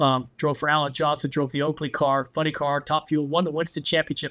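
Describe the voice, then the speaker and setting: With an American accent, a man speaks in an animated tone that is bright and sharp. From Southern California. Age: 70s. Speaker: former toy company car designer. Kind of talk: podcast interview. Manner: animated storytelling.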